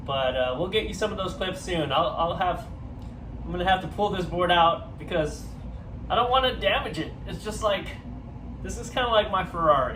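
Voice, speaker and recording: A man speaks with long, frequent pauses, with audible room echo and noticeable background noise. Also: moderate pace. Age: 40s. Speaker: surfing vlogger. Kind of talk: casual review. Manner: loud. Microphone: no microphone, camera audio.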